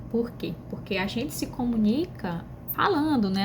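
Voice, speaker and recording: Amid noticeable background noise and audible room echo, a woman speaks fairly slowly with a northeastern Brazilian accent. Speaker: pedagogy student. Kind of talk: class presentation video. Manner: conversational, frequent fillers.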